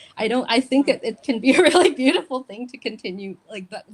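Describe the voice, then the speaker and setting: With noticeable background noise, a woman talks at a moderate pace. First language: Indonesian. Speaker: poet. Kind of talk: panel discussion. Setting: online live event. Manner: halting.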